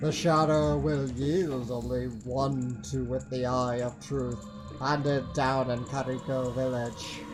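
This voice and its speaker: Over loud music in the background, a man at medium pitch uses a put-on character voice at a fairly slow pace. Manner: eerie, drawn out.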